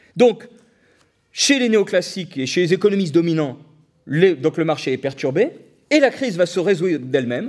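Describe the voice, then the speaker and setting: A man speaks loudly at a high pitch, with an animated tone and very wide pitch swings. His pace is moderate, broken by long, frequent pauses. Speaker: economist lecturer. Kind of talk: public lecture. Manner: animated, hesitant with fillers.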